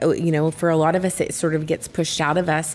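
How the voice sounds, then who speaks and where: A woman speaks with an unremarkable speaking voice at a fairly low pitch. Her intonation stays fairly even. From Texas. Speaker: former teacher, company team member. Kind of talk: casual chat.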